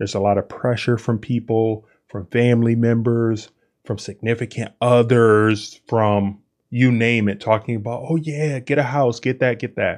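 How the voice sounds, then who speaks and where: A man has an ordinary speaking voice at a medium pitch, talking at a moderate pace. His intonation stays fairly even over a quiet background. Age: 30s. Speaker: podcast host. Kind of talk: solo monologue.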